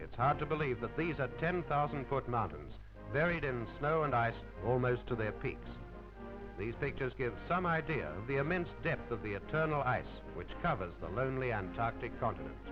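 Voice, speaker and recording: A man talks at a moderate pace while music sits in the background. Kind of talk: newsreel narration.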